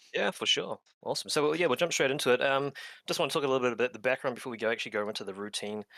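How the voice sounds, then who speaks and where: The recording of this man with a slight New Zealand accent is very clean, with a silent background and a dry, close sound with no echo. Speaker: clinical exercise physiologist. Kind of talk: interview and tutorial.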